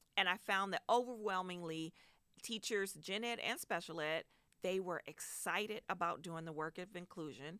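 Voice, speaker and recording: A woman speaks with a plain, everyday voice at a medium pitch. Her pitch varies in an ordinary way, and her pace is moderate. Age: 40s. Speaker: special education teacher. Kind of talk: casual interview.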